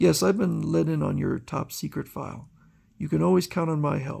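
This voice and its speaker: A man speaks at a moderate pace in a raspy, put-on character voice, recorded very cleanly against a silent background. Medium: read story. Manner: confident, steady.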